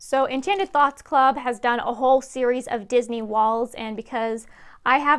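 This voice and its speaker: Things are quiet in the background. The speech goes fairly slowly, its pitch varying in an ordinary way. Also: woman. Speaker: pin collecting vlogger. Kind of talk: casual haul vlog chat. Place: home room. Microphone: lapel.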